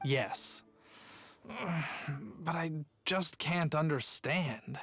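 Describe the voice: A put-on character voice, very slow, with a fairly bright tone, ordinary pitch variation and faint music in the background.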